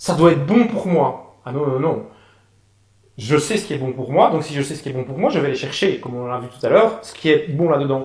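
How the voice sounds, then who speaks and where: A man with a Belgian accent talks at a fairly quick pace in a fairly high, somewhat breathy voice, with lively intonation, big swings in loudness and audible room echo. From Belgium, Namur. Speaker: pianist and author. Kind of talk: interview. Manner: hesitant, many fillers.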